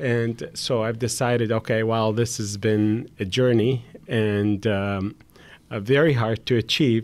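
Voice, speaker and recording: He speaks in a plain, everyday voice, pitched in the medium range. His intonation is fairly even. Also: fairly slow pace. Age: 50s. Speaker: hotel businessman and charity founder. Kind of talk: podcast interview.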